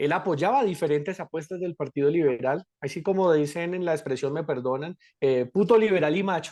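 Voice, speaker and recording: A man talks at a moderate pace in a high pitch with ordinary pitch variation. The sound is dry and close with no echo, over a quiet background. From Colombia, Bogotá (raised), born in Cali. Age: 30s. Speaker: political candidate. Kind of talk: interview.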